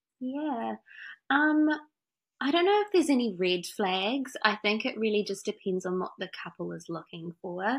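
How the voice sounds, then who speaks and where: A woman with a fairly high pitch speaks at a moderate pace with very wide pitch swings, on a very clean recording with a silent background. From France. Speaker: wedding florist. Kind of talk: casual interview chat.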